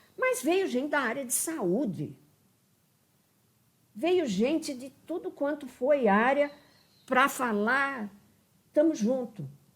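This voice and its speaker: A woman's high voice, very slow with long, frequent pauses, lively intonation and big swings in loudness, on a very clean recording with a silent background. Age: 70s. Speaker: urban planning professor. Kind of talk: interview. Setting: live stream. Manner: halting, with many restarts.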